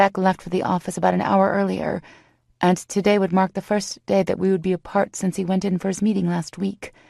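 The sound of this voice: The reading voice is unforced, with fairly even intonation.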